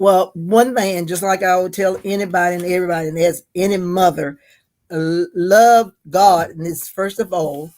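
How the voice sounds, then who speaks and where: A woman's medium-pitched voice with a North Carolina accent, fairly even in intonation, at a moderate pace. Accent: Southern US (North Carolina). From US South. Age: 70s. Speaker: interviewee, mother of the host. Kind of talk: casual interview. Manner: halting, many repetitions.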